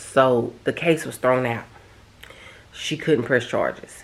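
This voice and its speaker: Against noticeable background noise, a woman speaks at a fairly slow pace in a very deep, low voice. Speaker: home decor vlogger. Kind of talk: casual personal vlog talk.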